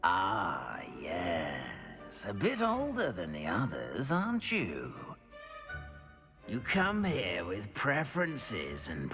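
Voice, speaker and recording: A put-on character voice speaks at a very slow pace and a low pitch. Clear music plays in the background. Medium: machinima. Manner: slow, musing, with many hums.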